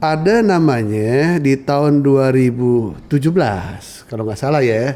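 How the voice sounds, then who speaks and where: A man with a Jakarta accent speaks very slowly with lively intonation, and the room echo is audible. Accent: central Betawi dialect, with 'e' endings. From central Betawi, Jakarta. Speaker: Betawi culture expert. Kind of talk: podcast conversation. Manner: casual, colloquial.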